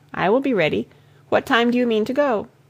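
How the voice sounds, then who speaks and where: A woman puts on a raspy character voice, high in pitch and very fast. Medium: read story.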